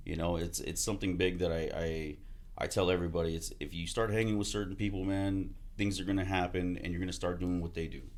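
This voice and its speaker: In a room with audible echo, a man talks at a very fast pace in a very deep, low voice with monotone, flat intonation. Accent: American. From Texas, Houston area. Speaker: army veteran and car salesman. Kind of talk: casual podcast interview.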